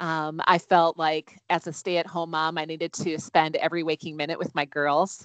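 Over a quiet background, a woman with an unremarkable speaking voice and fairly low pitch speaks at a fairly slow pace, the sound dry and close with no echo. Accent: American. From Wisconsin, US Midwest. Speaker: mom mentor, life coach. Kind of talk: interview conversation.

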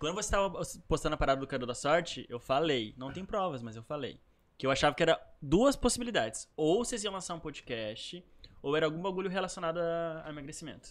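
The man, fairly high-pitched, rattles along at a very fast pace with lively intonation and big swings in loudness. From Canoas, Porto Alegre area, southern Brazil. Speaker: professional dancer and dance teacher. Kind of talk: casual chat.

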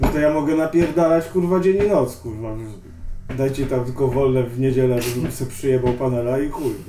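Noticeable background noise and audible room echo accompany a man speaking at a fairly quick pace and medium pitch with ordinary pitch variation. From Tricity, Poland (Sopot). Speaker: graffiti writer. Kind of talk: casual interview, heavy swearing. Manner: halting.

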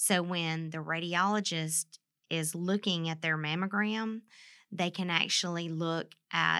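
Speaking with a Southern US accent, a woman has a fairly low voice with a bright, sharp tone. Her pace is moderate, and the recording is very clean with a silent background. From Mississippi. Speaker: nuclear medicine technologist. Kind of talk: interview about health topic.

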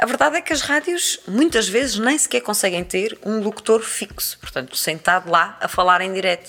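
A woman talks with hardly any pauses and very wide pitch swings. Noticeable background noise runs underneath. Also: medium pitch for a woman, moderate pace. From Azores, Terceira island (Praia da Vitória). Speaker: journalist and radio presenter. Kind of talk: casual interview. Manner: halting, many repetitions.

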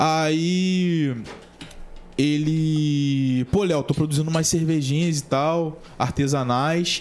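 At a very slow pace, a man talks fairly high in pitch with very even loudness and fairly even intonation. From Brazil, São Gonçalo (Rio de Janeiro state). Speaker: podcast host. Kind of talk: casual chat.

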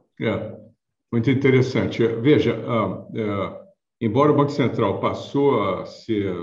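A man with a medium pitch and ordinary pitch variation speaks at a fairly slow pace, sounding somewhat breathy, with audible room echo. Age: 60s. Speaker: payments consultant and author. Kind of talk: interview.

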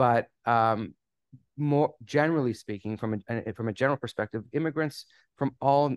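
A man with a slight Canadian accent talks with ordinary pitch variation. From Canada. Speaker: immigration attorney. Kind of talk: casual interview.

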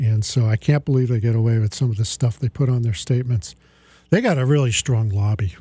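Very fast and somewhat breathy, a man speaks in a dark, mellow tone. The loudness is very even, and the sound is dry and close with no echo. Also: medium pitch for a man, ordinary pitch variation. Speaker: radio host and financial advisor. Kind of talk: live radio show, opening with a rant; pitchman-style rant against annuity sales, indignant and persuasive. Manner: impassioned, punchy, exasperated, emphatic; conversational, chatty, joking.

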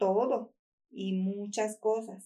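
Female speech, fairly high in pitch, with a dark, mellow tone. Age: 40s. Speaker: small business owner. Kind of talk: interview testimony.

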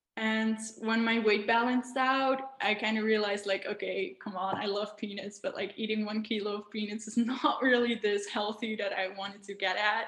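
The speaker has a non-native accent and monotone, flat intonation, moving at a moderate pace over noticeable background noise. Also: woman, fairly high pitch for a woman. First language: not English. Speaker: wellness influencer. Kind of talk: casual interview, personal story. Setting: video call. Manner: warm, slightly hesitant with fillers.

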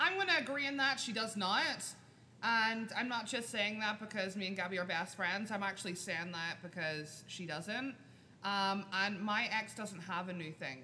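A woman speaks at a moderate pace and medium pitch with ordinary pitch variation. Hers is an unremarkable speaking voice. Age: 20s. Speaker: podcast host.

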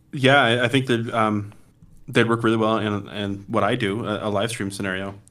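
With audible room echo around him, a man speaks at a moderate pace in a fairly low pitch, his intonation fairly even. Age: 30s. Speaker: church live stream director. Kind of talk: casual tech chat. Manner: halting, many fillers.

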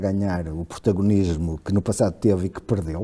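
Somewhat breathy, a man's dark, mellow tone sits at a very deep, low pitch, delivered at a moderate pace with fairly even intonation. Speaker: historian. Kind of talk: casual chat. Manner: halting, repeats words.

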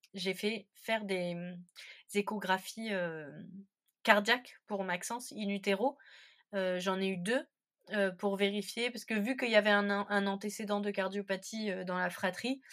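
On a very clean recording with a silent background, a woman speaks at a medium pitch and a fairly slow pace, with long, frequent pauses and fairly even intonation. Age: 30s. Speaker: stay-at-home mother of a child with Down syndrome. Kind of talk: interview testimony. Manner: hesitant, many fillers.

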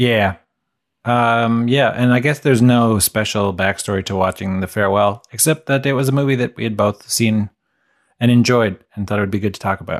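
Against a quiet background, a man with a normal speaking voice talks at a fairly quick pace in a medium pitch with ordinary pitch variation, the sound dry and close with no echo. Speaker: podcast co-host.

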